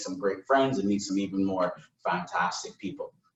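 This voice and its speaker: A man talks with an American accent at a fairly quick pace. His pitch is fairly low. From Barbados. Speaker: brand ambassador. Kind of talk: live virtual cocktail lesson. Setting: live stream. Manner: upbeat, enthusiastic.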